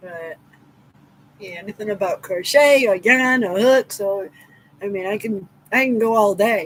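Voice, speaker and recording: In an American accent, the speaker goes at a fairly slow pace with long, frequent pauses, big swings in loudness and ordinary pitch variation. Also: woman, medium pitch for a woman. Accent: New England accent, noticed by others. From Massachusetts. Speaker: crochet livestreamer. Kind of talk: casual live stream chat. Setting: live stream.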